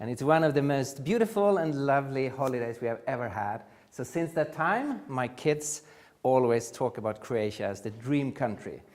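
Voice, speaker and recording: A man with a Swedish accent, medium pitch, lively intonation and a moderate pace. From Sweden. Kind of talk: conference lecture. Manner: halting, frequent uh fillers.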